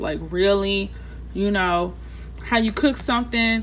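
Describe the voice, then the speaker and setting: Against audible room echo, a woman speaks at a fairly slow pace in an American accent. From Texas, Houston. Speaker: tarot reader. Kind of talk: tarot reading for viewers. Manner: casual, filler-heavy speech; animated.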